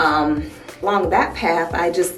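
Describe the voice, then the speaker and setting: A woman with an American accent, with audible room echo and music in the background. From US Midwest, Toledo, Ohio. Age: 20s. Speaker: beauty vlogger. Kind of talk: casual chat. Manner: casual, hesitant with many fillers.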